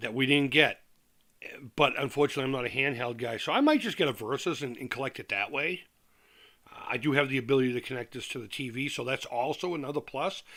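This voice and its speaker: With an American accent, a man talks in a fairly high pitch and a bright, sharp tone, using ordinary pitch variation, on a very clean recording with a silent background. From Massachusetts, Worcester. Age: 40s. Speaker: retro gaming YouTuber. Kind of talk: casual live-stream chat. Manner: hesitant, many fillers and repeats.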